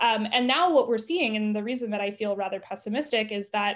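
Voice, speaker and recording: A woman with an American accent talks at a fairly quick pace in a normal speaking voice, her pitch fairly high with ordinary variation, on a very clean recording with a silent background. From US South. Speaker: journalist and author. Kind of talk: interview.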